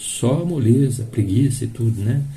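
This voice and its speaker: Very slow, somewhat breathy speech from a man at medium pitch, dark and mellow in tone, with fairly even intonation and audible room echo. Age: 60s. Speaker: spiritist lecturer. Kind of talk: sermon. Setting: live stream of a public meeting. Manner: halting.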